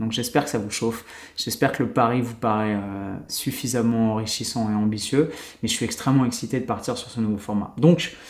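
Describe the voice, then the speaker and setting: Here a man speaks in a medium pitch. His intonation is fairly even. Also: fairly quick pace. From France. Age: 30s. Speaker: YouTuber and podcaster. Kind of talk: solo podcast monologue. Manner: casual, filler-heavy.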